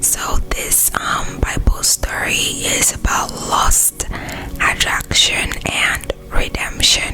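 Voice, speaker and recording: Over noticeable background noise, a person whispers at a very slow pace. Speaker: ASMR creator. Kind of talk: Bible story reading. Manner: whispered.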